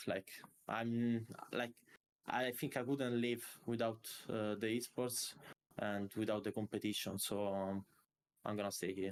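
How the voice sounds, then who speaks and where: A man with an Italian accent, fairly low in pitch, at a very slow pace with long, frequent pauses, very even loudness and fairly even intonation. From Italy. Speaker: esports player. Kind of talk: interview. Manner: halting.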